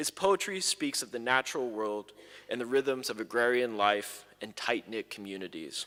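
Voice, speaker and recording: Speaking at a moderate pace, a man with a medium pitch and a bright, sharp tone uses lively intonation. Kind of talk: formal introduction of a speaker.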